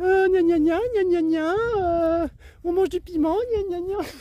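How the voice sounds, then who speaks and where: This put-on character voice is nasal and whiny, with an extremely high pitch and a fairly slow pace. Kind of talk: playful. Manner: mocking, nasal whining imitation.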